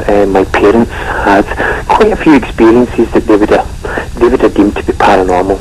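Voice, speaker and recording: Over noticeable background noise, a man with a Scottish accent speaks at a fairly quick pace. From Scotland. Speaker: paranormal investigator. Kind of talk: radio interview.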